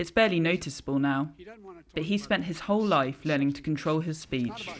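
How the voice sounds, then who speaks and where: Against noticeable background noise, a woman with a British accent speaks at a fairly quick pace in a very deep, low pitch with ordinary pitch variation. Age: 30s. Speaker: news correspondent and producer. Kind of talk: news report.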